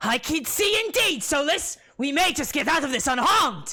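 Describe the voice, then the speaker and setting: The speaker puts on a character voice pitched high. Delivery is at a moderate speed. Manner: excited, relieved.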